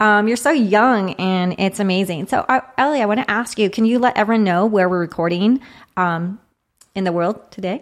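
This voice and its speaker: With an unremarkable speaking voice, a woman talks at a moderate pace with ordinary pitch variation. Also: medium pitch for a woman. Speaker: podcast host. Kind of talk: casual interview chat. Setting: studio.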